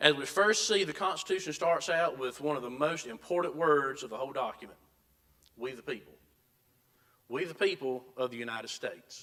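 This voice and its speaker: A man's bright, sharp tone at a fairly high pitch, fairly quick in pace, with lively intonation, big swings in loudness, and a South Carolina accent. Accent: Southern US (South Carolina). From US South. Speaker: Bible school teacher. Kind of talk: lecture. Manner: halting, with frequent repetitions.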